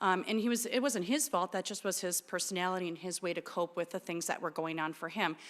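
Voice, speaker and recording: Over a silent background in a very clean recording, a woman with an American accent talks very fast at a medium pitch, hardly pausing and using ordinary pitch variation. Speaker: therapist and clinic director. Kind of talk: talk to an audience. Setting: church with audience. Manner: loud.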